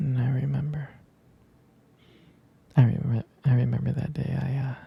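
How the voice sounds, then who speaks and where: Whispering, a man speaks in a soft-spoken way. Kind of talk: ASMR boyfriend roleplay. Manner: whispered, soft-spoken.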